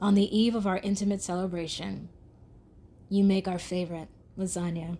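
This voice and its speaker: A woman speaks in a fairly low pitch with a dark, mellow tone and a somewhat breathy quality. Her intonation is monotone and flat, and her pace moderate. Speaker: poet. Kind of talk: spoken word poetry reading.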